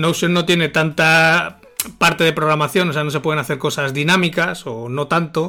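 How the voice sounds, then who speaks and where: With a bright, sharp tone and fairly even intonation, a man talks at a moderate pace in a fairly high pitch. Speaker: marketing consultant and co-host. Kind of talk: casual chat.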